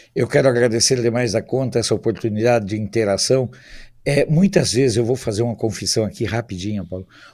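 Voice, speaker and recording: A man's dark, mellow voice at medium pitch, with ordinary pitch variation and a fairly quick pace. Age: 60s. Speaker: political commentator. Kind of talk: talk show discussion.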